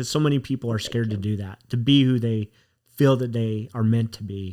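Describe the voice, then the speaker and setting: Heard in a very clean recording with a silent background, a man with a normal speaking voice talks at medium pitch with fairly even intonation. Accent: American. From Utah. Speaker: podcast host.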